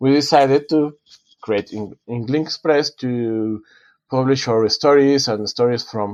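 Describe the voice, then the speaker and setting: Speaking at a fairly slow pace with a Spanish accent, a man uses a medium pitch and fairly even intonation, his sound dry and close with no echo against a quiet background. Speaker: author and design professor. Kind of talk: podcast interview. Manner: halting, many self-corrections.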